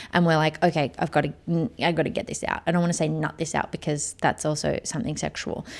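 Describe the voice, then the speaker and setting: Talking at a very fast pace, a woman with an Australian accent has a very deep, low pitch. Her voice carries vocal fry. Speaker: podcast host and motion director. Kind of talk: casual solo podcast monologue. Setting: studio. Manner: animated.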